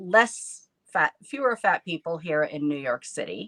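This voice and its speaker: An unremarkable speaking voice from a woman with an American accent, fairly low in pitch, with lively intonation at a fairly slow pace, the sound dry and close with no echo. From US South, southeastern Virginia. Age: 60s. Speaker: photographer and fat activist. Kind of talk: casual interview chat.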